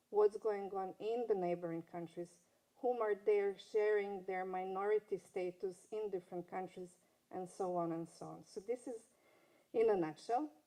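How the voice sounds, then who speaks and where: A woman at medium pitch talks at a moderate pace with fairly even intonation and big swings in loudness. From Serbia (Belgrade), former Yugoslavia. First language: Serbo-Croatian. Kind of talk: panel talk. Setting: conference stage with audience. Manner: halting.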